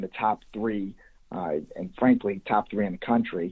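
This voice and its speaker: A man with a slight Chicago accent talks at a moderate pace. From US Midwest, Chicago area (Des Plaines, Illinois). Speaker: youth baseball coach. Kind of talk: podcast interview.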